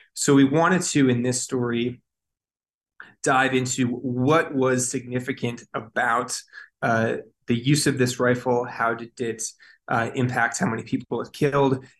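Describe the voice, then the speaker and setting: A man speaks at a fairly slow pace in a plain, everyday voice, medium in pitch, with fairly even intonation. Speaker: news reporter. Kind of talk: interview.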